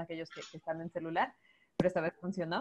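Against a quiet background, a woman is speaking. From Guayaquil, Ecuador. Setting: video call. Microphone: video call.

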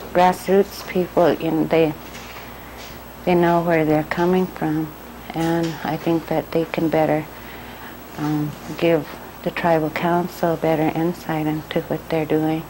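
A woman with a very deep, low pitch speaks fairly slowly in a monotone, flat way, leaving long, frequent pauses amid noticeable background noise. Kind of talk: interview answer.

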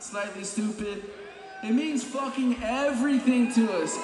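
A man's voice with fairly even intonation amid noticeable background noise. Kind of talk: stage banter. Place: stage. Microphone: handheld.

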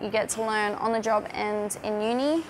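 Over noticeable background noise, a woman with an Australian accent speaks at a moderate pace in a fairly high pitch with fairly even intonation. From Australia, Northern Territory (Darwin). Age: 20s. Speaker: cookery student. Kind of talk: testimony. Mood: upbeat, enthusiastic. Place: kitchen. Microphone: lapel.

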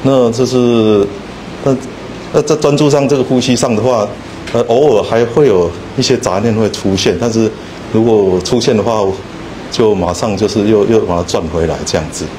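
A man's voice at a moderate pace with ordinary pitch variation, long, frequent pauses and light background noise. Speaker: student group leader. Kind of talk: group sharing. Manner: halting, hesitant. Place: hall. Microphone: handheld.

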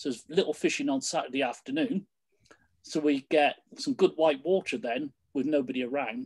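A moderate pace in a British accent against a quiet background. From Britain. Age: 60s. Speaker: canoe coach. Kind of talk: presentation. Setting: video call. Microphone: video call.

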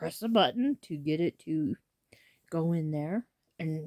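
A woman's dark, mellow tone with lively intonation against a quiet background. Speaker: vlogger. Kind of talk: casual vlog chat. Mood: animated, a bit complaining. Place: home room. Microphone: phone near.

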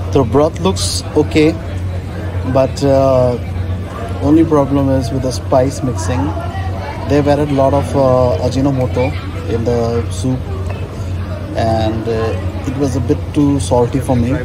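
A man talks at a fairly slow pace with long, frequent pauses while music plays in the background. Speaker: food vlogger. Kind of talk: casual food review. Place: cafe. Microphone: phone near.

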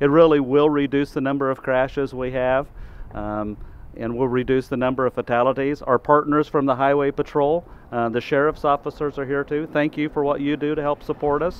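Speaking at a moderate pace with few pauses, a man keeps a medium pitch and fairly even intonation.

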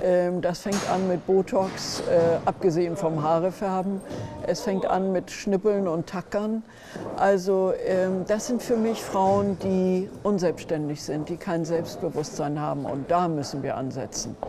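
The speech moves at a very slow pace. Clear music plays in the background. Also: woman, medium pitch for a woman, ordinary pitch variation. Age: 70s. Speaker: modeling agency head. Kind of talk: interview. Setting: conference. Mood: earnest, critical. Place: hall.

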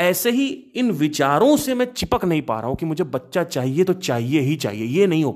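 A man's fairly high voice with very wide pitch swings and hardly any pauses, in a very clean recording with a silent background. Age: 30s. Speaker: podcaster. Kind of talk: casual monologue. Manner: halting.

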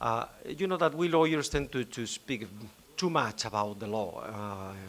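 Light background noise is present. Over it, a man speaks at a moderate pace. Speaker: law professor panelist. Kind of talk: conference talk. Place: hall. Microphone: podium.

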